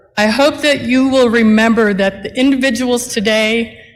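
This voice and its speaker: A woman with a plain, everyday voice, fairly even intonation and a moderate pace. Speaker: attorney and nonprofit CEO. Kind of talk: commencement speech.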